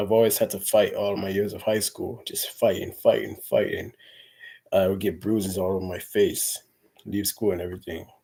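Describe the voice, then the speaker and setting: A man at a moderate pace with big swings in loudness, on a very clean recording with a silent background. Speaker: vlogger. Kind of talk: casual vlog monologue. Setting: indoors, fan turned off.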